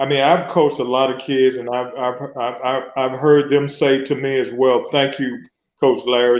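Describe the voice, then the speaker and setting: Moderate pace from a man with a plain, everyday voice at medium pitch. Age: 60s. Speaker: social worker and former youth football coach. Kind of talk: radio talk show interview, casual chat.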